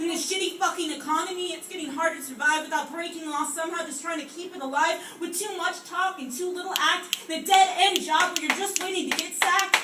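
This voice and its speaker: Amid noticeable background noise, a woman uses a raised, projected voice at an extremely high pitch, talking at a fairly quick pace with hardly any pauses, fairly even intonation and big swings in loudness. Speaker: slam poet. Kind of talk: slam poetry performance.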